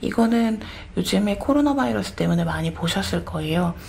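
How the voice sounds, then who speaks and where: Here a woman is speaking. Noticeable background noise runs behind her. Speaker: pediatrician. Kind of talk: medical explainer talk.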